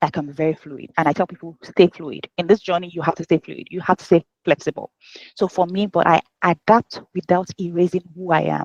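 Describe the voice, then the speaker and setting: A woman with a Nigerian accent speaks at a fairly quick pace and a fairly low pitch. The sound is dry and close, with no echo. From Nigeria (Yoruba). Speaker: HR professional and life coach. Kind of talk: podcast interview.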